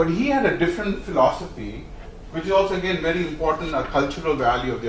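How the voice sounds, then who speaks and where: Amid noticeable background noise and audible room echo, a man with an Indian accent talks at a very fast pace in a high voice. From India, Bombay. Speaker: company executive. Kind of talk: speech. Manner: many fillers and hesitations.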